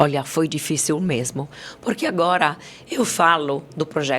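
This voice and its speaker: A woman with an Italian accent speaks at a moderate pace in a very deep, low pitch with ordinary pitch variation. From Italy. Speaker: company CEO. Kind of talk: podcast interview.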